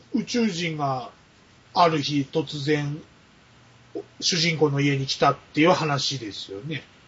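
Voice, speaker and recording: Somewhat breathy and fairly high-pitched, a man speaks at a very slow pace, with long, frequent pauses and big swings in loudness. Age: middle-aged. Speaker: podcast guest, film buff. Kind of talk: casual chat.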